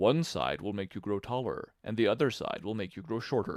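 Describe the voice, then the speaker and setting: Putting on a character voice, a man speaks at a medium pitch and a fairly quick pace. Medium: read story. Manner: languid, sleepy, terse.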